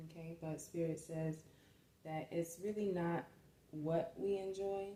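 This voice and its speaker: Soft-spoken and somewhat breathy, a woman with a dark, mellow tone talks at a fairly low pitch and fairly slow pace with monotone, flat intonation. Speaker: tarot or spiritual reader. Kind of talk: spiritual reading. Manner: hesitant, with many fillers.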